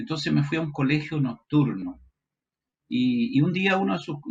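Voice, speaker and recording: A man speaks at a fairly quick pace in a Chilean accent, his voice somewhat breathy. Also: quiet background. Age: 60s. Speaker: pastor. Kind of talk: testimony.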